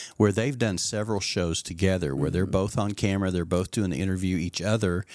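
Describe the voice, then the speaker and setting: A man talks in an ordinary speaking voice with a fairly low pitch and ordinary pitch variation. The recording is very clean, with a silent background. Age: 60s. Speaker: pastor and podcast host. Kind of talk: casual chat. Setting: studio.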